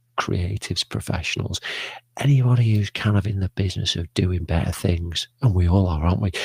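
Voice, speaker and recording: A man whispers quietly with an English accent, somewhat breathy, in a dry, close sound with no echo. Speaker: live stream host. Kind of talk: casual live stream chat. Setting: home studio broadcast. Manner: quiet, whispering.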